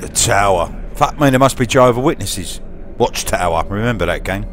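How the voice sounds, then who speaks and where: A man with a Cockney accent talks at a fairly quick pace with ordinary pitch variation over noticeable background noise. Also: medium pitch for a man. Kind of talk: casual gameplay commentary. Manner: joking, crude.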